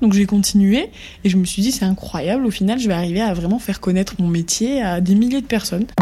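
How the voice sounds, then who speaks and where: A woman's medium-pitched voice moves fairly quickly, its pitch varying in an ordinary way. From southern France, Montpellier. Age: 20s. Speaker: ocularist and social media creator. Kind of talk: interview. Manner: animated.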